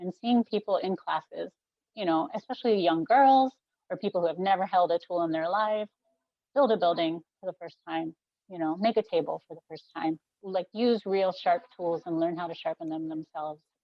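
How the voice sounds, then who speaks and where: With an American accent, a woman speaks in a normal speaking voice at a moderate pace, her pitch fairly low with ordinary variation. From US South, North Carolina. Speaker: craftswoman. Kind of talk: interview.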